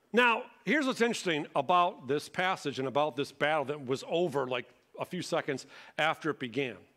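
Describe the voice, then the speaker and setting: The speaker has an American accent and a fairly quick pace. The pitch swings very widely. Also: man, quiet background. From Michigan, Detroit area. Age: 40s. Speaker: pastor. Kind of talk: sermon. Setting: church. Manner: animated. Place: church.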